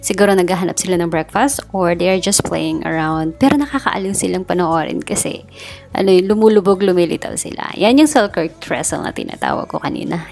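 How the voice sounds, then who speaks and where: Faint music plays behind a woman speaking at a fairly quick pace. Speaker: cyclist vlogger. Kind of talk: casual vlog chat. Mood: relaxed, cheerful. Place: waterside.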